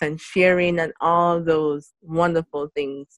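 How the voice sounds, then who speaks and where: A woman's plain, everyday voice, fairly low in pitch with ordinary variation, at a fairly slow pace. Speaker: podcast host.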